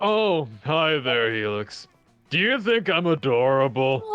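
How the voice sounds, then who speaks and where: Faint music plays in the background as a man does a put-on character voice, fairly high in pitch and at a fairly slow pace. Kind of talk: playful, coy. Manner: sweet, adorable.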